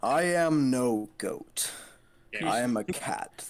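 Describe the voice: Using a put-on character voice, a man with a fairly high pitch speaks at a very slow pace.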